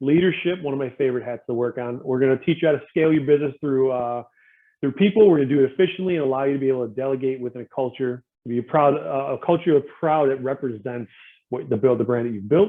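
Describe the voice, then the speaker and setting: A man at a very fast pace, medium in pitch, with ordinary pitch variation. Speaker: small business advisor. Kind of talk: webinar presentation. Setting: online webinar.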